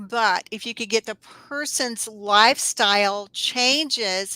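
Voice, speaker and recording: Her fairly high, bright, sharp voice carries a Southern US accent, and the woman is recorded very cleanly, dry and close with no echo and a silent background. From US South, North Alabama. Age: 60s. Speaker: herbalist. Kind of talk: interview.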